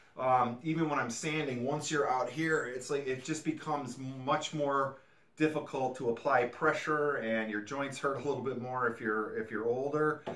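A man talks at a moderate pace with fairly even intonation. Audible room echo surrounds his voice. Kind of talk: tutorial. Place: workshop. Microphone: camera far.

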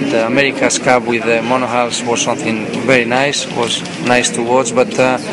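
The speech moves at a fairly quick pace. Loud background noise runs behind it. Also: man. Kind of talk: interview answer. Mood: relaxed, occasional laughs. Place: hall.

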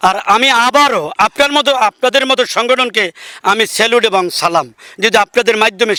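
A man speaks in a raised, projected voice with a bright, sharp tone. The sound is dry and close, with no echo. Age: 60s. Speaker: local councillor. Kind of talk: field interview.

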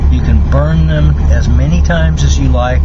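Loud background noise fills the clip. The speech moves at a fairly slow pace. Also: man. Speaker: truck driver vlogger. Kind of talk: casual vlog chat, sponsor read. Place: car.

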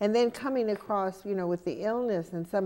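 A woman has a dark, mellow tone and lively intonation. She speaks at a moderate pace. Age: 70s. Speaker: TV interview host. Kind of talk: interview. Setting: studio. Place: studio.

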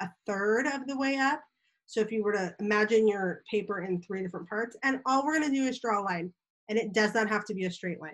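Against a quiet background, a woman speaks at a fairly quick pace with ordinary pitch variation. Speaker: teacher. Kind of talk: tutorial for children. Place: home room. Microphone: webcam.

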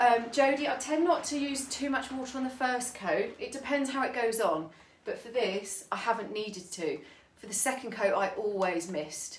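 There is audible room echo around a high-pitched woman's voice. She speaks with a British accent and lively intonation. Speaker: furniture painter. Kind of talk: live tutorial. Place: home room. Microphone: phone near.

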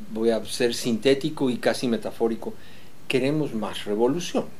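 Speaking at a moderate pace, a man has a dark, mellow tone. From Bolivia, La Paz. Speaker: composer and orchestra director; interviewee. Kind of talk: reflective interview; interview answer. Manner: halting with frequent fillers and repetitions. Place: home room.

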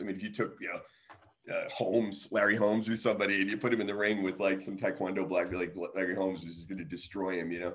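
A man with an American accent talks at a very fast pace against a quiet background. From New York, then US South. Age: 50s. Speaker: martial artist and author; guest. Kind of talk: casual interview. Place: kitchen. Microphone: video call.

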